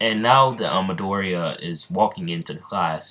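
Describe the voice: The words are given as plain reading aloud.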